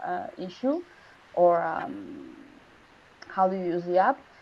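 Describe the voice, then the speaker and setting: At a fairly slow pace, a woman with a Spanish accent speaks with very wide pitch swings. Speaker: design student. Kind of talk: project presentation Q&A. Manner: halting.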